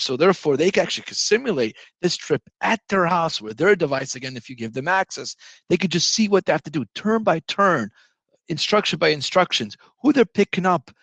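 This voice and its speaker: Over a quiet background, a high-pitched man talks at a fairly quick pace with lively intonation, the sound dry and close with no echo. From Italy. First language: Italian. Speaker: software company executive. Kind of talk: product presentation. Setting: virtual conference. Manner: animated.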